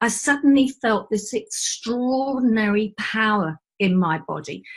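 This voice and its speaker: A woman's fairly high, somewhat breathy voice with lively intonation at a fairly slow pace. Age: 60s. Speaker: energy healing practitioner. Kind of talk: casual chat.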